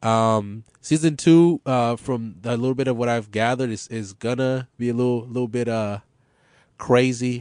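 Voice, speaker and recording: An unremarkable speaking voice with an American accent, fairly even intonation and a moderate pace. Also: man, medium pitch for a man. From Los Angeles, US. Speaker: podcast host. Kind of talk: casual chat, podcast conversation. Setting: studio at a radio station.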